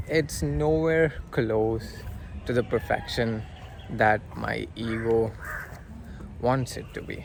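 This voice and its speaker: A man speaks over noticeable background noise. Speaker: vlogger. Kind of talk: casual vlog monologue. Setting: outdoors by a river. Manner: halting, stumbling over words; hesitant with filler words.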